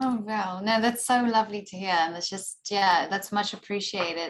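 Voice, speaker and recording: This woman has a South African accent and a medium pitch. She keeps a moderate pace with ordinary pitch variation. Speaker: actor. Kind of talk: interview.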